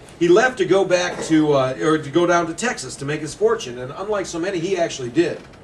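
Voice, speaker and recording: A man's high voice with an American accent, racing at a very fast pace over noticeable background noise. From Indiana, USA. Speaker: ghost story author. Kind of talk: public talk.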